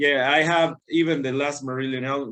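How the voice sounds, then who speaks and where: A man talks at a fairly quick pace. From Argentina. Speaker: touring guitarist. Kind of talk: casual interview chat. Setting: remote call from home.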